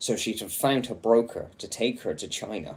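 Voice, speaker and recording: A man speaks with vocal fry. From England. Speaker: livestreamer reading a book aloud. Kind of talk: casual chat; reading aloud.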